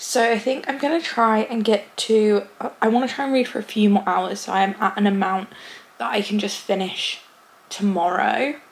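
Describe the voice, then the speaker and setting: Fairly high pitch from a woman, moderate pace, ordinary rise and fall, plus noticeable background noise. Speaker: booktuber. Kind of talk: casual vlog talk to camera.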